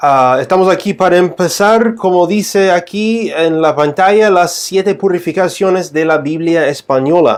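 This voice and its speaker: A high-pitched man at a fairly slow pace, his loudness very even, with noticeable background noise. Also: ordinary pitch variation, hardly any pauses. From United States. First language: English (speaking Spanish). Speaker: Bible teacher. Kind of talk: livestream Bible teaching. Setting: live stream. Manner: halting, many fillers and restarts.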